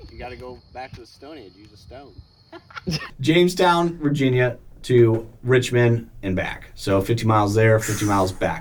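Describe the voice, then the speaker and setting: Against noticeable background noise, a medium-pitched man speaks at a moderate pace with lively intonation and big swings in loudness. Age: 30s. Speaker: ultra runner and life coach. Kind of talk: documentary interview and casual chat. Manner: halting, repeats words.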